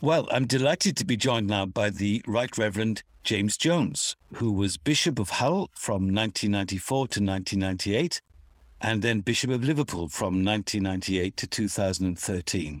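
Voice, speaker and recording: A man speaks with a dry, close sound and no echo. The recording is very clean, with a silent background. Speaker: radio host. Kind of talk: interview introductions and conversation.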